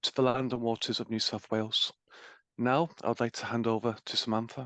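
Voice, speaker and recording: Over a quiet background, a man with an English accent talks at a fairly quick pace and medium pitch, his tone bright and sharp, the sound dry and close with no echo. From England. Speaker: webinar host. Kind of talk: webinar introduction. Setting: webinar. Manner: formal.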